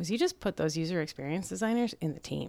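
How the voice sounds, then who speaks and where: With a slight Minnesotan accent, a woman speaks in a fairly low voice. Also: very clean recording, silent background. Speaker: digital agile expert. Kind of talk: casual chat.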